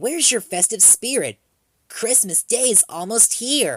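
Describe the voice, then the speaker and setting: A put-on character voice with fairly high pitch, delivered at a moderate pace. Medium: read story.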